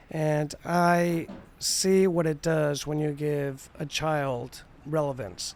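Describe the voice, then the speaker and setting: A man talks at a very slow pace, his fairly high voice held in fairly even intonation. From Spain. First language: Spanish. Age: 40s. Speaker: artist. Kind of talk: casual chat.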